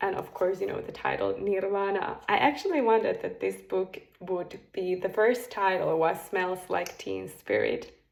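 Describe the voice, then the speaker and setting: A woman with a Finnish accent talks at a moderate pace with hardly any pauses. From Finland. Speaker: spiritual coach. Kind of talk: casual monologue to camera. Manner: hesitant, with fillers.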